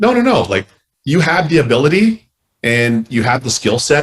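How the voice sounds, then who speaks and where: A man with a Canadian accent, somewhat breathy, fairly quick and lively in intonation. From Canada. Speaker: former hockey goalie, sports analyst. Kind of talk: interview answer. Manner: fast-talking, engaging.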